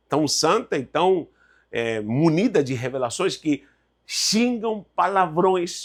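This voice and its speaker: In a Spanish accent and an animated tone, a man speaks at a high pitch with very wide swings, on a very clean recording with a silent background. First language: Spanish (speaking Portuguese). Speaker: Bible teacher. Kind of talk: lecture.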